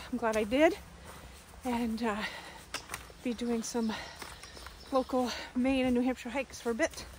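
The sound is dry with no echo, with light background noise. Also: woman. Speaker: hiking vlogger. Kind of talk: casual vlog chat. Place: forest. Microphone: phone near.

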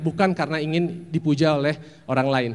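With an animated tone, a man speaks at a moderate pace in a fairly high pitch with ordinary pitch variation. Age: 40s. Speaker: actor. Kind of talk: talk; talk to an audience giving advice. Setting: stage with audience. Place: hall. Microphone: handheld.

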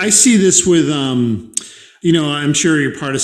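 An American accent with ordinary pitch variation, audible room echo and a quiet background. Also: man. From Boston. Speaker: podcast host. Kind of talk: interview conversation. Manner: fast talker. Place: home room.

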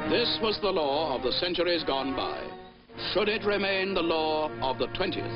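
Over music in the background, a man with a high-pitched voice speaks in a solemn tone at a moderate pace, with lively intonation and very even loudness. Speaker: newsreel narrator. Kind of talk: newsreel narration. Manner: grave, solemn.

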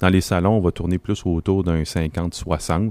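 A man speaks at a fairly slow pace in a very deep, low pitch. The sound is dry and close with no echo, in a very clean recording with a silent background. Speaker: regional director of an EV association. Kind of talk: casual group discussion. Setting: makeshift studio at an event.

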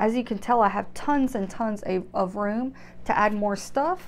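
The speaker is a woman with ordinary pitch variation. She talks fairly slowly. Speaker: gear reviewer. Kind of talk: casual show-and-tell vlog. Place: home room. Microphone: lapel.

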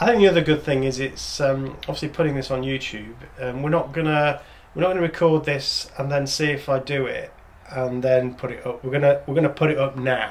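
A man with an English accent talks at a fairly quick pace in a fairly high pitch. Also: ordinary pitch variation. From England. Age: 50s. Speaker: father of the channel owner. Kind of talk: casual chat. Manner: halting. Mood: reflective, calm. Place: home room.

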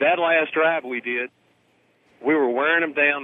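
At a moderate pace, a man talks in an unremarkable speaking voice, his pitch varying in an ordinary way. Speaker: caller phoning in to a radio show. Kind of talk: talk radio call-in, opinionated and argumentative. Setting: phone line.

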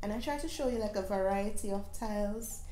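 Fairly slow speech from a woman with fairly even intonation, audible room echo and light background noise. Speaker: home renovation vlogger. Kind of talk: casual vlog chat. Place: shop.

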